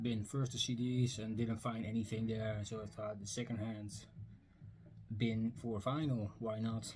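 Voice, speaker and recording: Music in the background behind a man with a Dutch accent, medium pitch, a moderate pace and fairly even intonation. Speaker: record and book collector vlogger. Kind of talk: casual video vlog. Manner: hesitant, many fillers.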